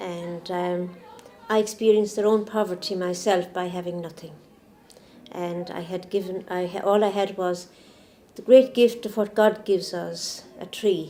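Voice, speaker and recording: Over noticeable background noise, a woman with an Irish accent talks at a moderate pace, her medium pitch carrying fairly even intonation. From Ireland. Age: 70s. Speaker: nun and nurse. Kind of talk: interview testimony.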